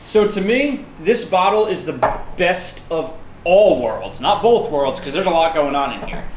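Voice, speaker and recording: Amid noticeable background noise and audible room echo, a man with a high voice speaks at a moderate pace with lively intonation. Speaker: whiskey review show host. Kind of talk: casual chat. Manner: stuttering.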